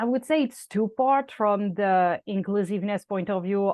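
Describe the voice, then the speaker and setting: A woman speaks in a French accent. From France. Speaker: content strategist. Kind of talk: interview. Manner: hesitant, many fillers.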